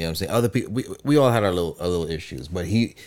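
With an American accent, a man talks in a very deep, low voice and lively intonation. The recording is very clean, with a silent background. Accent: Guyanese-New York. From Guyana. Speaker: podcast co-host, music group member. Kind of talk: casual chat.

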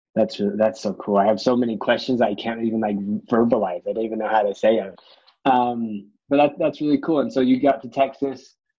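At a fairly quick pace, a man with a medium pitch speaks in an ordinary speaking voice. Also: ordinary pitch variation. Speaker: podcast host. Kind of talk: interview conversation.

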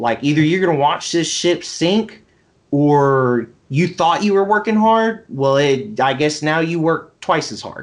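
A normal speaking voice from a man with an American accent, fairly high in pitch, at a fairly slow pace with lively intonation. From US South, Mississippi Gulf Coast. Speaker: business founder. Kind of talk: casual chat.

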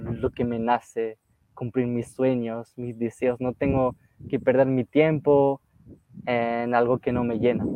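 A medium-pitched man's voice with a French accent. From northern France, near Lille. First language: French (speaking Spanish). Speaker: travel youtuber. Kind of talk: casual interview chat.

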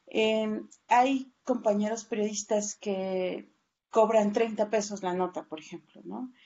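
Speaking very slowly with a fairly high pitch, a woman keeps her intonation fairly even while her loudness swings widely. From Oaxaca, southern Mexico. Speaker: journalist. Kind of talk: interview.

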